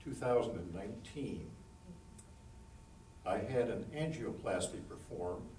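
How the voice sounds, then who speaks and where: Lively intonation comes through alongside audible room echo and noticeable background noise. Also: man. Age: 70s. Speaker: patient. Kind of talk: testimony. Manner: halting.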